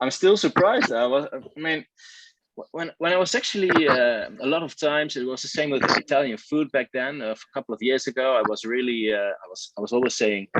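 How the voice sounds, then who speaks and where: At a fairly quick pace, a man with a Dutch accent speaks at a fairly high pitch with ordinary pitch variation. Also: dry, close sound with no echo. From Netherlands, eastern village near Germany. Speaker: baseball fan guest. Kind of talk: casual chat. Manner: hesitant, many fillers.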